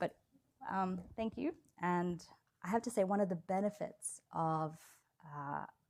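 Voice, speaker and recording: A woman's fairly slow, medium-pitched speech with an American accent, ordinary pitch variation, and long, frequent pauses. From Australia. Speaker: law professor. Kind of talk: lecture.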